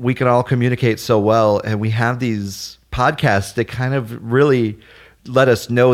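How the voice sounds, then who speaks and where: A man talks at a moderate pace with fairly even intonation. He has a plain, everyday voice, and the recording is very clean with a silent background. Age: 30s. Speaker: arcade gamer and podcaster. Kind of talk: casual chat.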